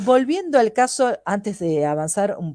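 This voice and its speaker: This woman has an unremarkable speaking voice, medium in pitch, with lively intonation at a moderate pace. The sound is dry and close, with no echo. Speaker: holistic therapist. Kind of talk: lecture.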